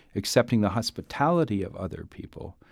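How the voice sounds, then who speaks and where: Moderate pace from a man with an American accent, the recording very clean and the background silent. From US Midwest, Duluth, Minnesota. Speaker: bishop. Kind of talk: interview. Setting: studio. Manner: halting, many fillers.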